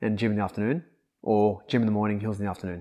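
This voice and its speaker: A man with an Australian accent speaks at a fairly low pitch in a dark, mellow tone. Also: very clean recording, silent background. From Australia, northern New South Wales (Kyogle). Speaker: personal coach. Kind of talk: casual chat.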